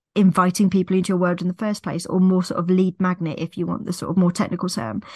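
A woman's somewhat breathy voice at medium pitch, dry and close with no echo, against a quiet background. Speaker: mindset coach and business mentor. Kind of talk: solo podcast monologue.

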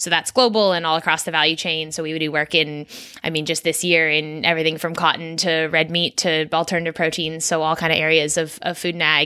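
Very fast and in a monotone, flat intonation, a woman with a Californian accent speaks at a fairly low pitch. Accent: American (California). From California, US. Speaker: startup co-founder and CEO. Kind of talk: casual interview.

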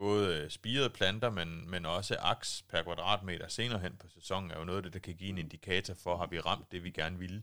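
A man's very deep, low voice with a bright, sharp tone, fairly even intonation and a fairly quick pace, on a very clean recording with a silent background. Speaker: agricultural adviser and podcast host. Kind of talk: casual interview. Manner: hesitant with many fillers.

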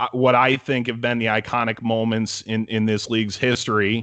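Against a quiet background, a man of medium pitch speaks in a bright, sharp tone. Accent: American. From Cleveland, Ohio. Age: 20s. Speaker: sports broadcaster. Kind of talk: casual interview chat.

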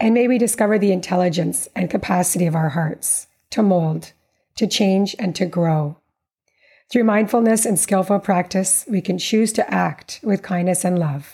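Somewhat breathy with a dark, mellow tone, a woman speaks at very even loudness in a very clean recording with a silent background. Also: medium pitch for a woman, ordinary pitch variation, moderate pace. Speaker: podcast host. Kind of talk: interview, conversational.

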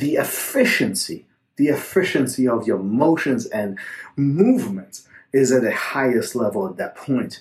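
A man speaks fairly slowly at a medium pitch, with lively intonation. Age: 40s. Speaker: jiu-jitsu coach and podcast host. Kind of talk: solo podcast monologue answering a listener question. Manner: halting, with many fillers and repetitions.

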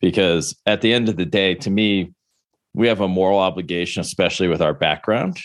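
A man with an American accent talks fairly quickly in an unremarkable speaking voice at a fairly low pitch. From Buffalo, New York, US. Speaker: cybersecurity company founder and CEO. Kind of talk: interview.

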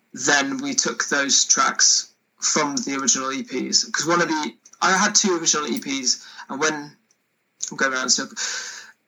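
This man speaks in a Welsh accent. His fairly high pitch moves with lively intonation. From Wales. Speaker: singer-songwriter. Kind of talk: casual chat.

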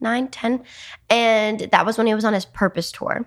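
In a very clean recording with a silent background, a woman talks at a fairly quick pace. She has an American accent. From New Jersey. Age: young. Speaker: dancer and social media influencer. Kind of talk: casual interview. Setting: studio. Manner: animated.

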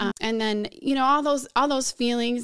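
A woman with an American accent has a plain, everyday voice, fairly high in pitch with fairly even intonation. The recording is very clean, with a silent background. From US Northeast, suburban Philadelphia. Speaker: pastor. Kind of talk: interview testimony.

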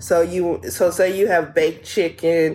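A woman with a fairly low pitch, over noticeable background noise. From New Orleans, Louisiana. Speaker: podiatrist. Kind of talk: radio interview, health advice. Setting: radio studio. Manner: animated, laughs often.

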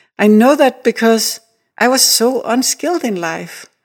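The woman speaks with a Danish accent. Her pitch is fairly high, with ordinary pitch variation. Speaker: artist. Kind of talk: interview. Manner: animated.

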